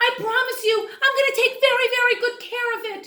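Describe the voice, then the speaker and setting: Putting on a squeaky character voice, a woman speaks at an extremely high pitch and a fairly quick pace, with monotone, flat intonation and big swings in loudness. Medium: read story.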